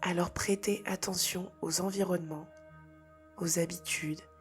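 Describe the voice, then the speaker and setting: With music in the background, a woman speaks at a fairly low pitch in a monotone, flat intonation. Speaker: spirituality and personal development content creator. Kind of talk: guided meditation-style spiritual talk to camera. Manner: soft-spoken, whispered, calm.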